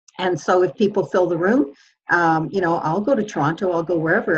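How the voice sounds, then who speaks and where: A woman talks at a very fast pace, her fairly low pitch moving with ordinary variation. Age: 60s. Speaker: workshop teacher and speaker. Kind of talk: group video call coaching session.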